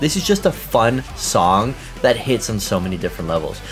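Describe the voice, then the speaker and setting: A man is talking. Faint music plays in the background. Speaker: reaction video host. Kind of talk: reaction commentary. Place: home room.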